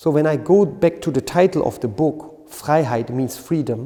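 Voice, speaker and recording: A man in a German accent speaks at a fairly slow pace, his fairly high pitch carried by lively intonation. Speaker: qigong teacher. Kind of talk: lecture. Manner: halting.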